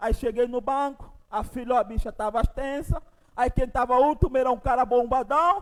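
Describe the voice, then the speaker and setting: An extremely high male voice with an animated tone and ordinary pitch variation. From Angola. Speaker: pastor. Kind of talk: sermon. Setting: church.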